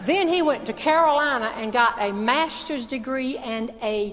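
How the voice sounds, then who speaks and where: A woman's high-pitched voice with a Southern US accent, lively intonation and a fairly slow pace, over noticeable background noise. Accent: Southern American. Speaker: humorist and motivational speaker. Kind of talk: stand-up storytelling to a live audience. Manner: humorous, well-timed delivery.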